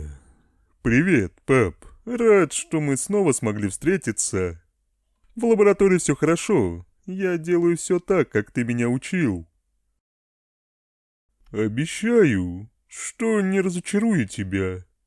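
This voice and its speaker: Using a put-on character voice, a man speaks at a fairly slow pace and fairly high pitch, with very wide pitch swings and long, frequent pauses. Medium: dub.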